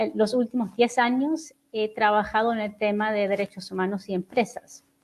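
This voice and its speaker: With a non-native accent, a woman speaks at a fairly high pitch and moderate pace, keeping her intonation fairly even. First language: not Spanish (speaking Spanish). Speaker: human rights researcher. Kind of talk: conference presentation. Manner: hesitant.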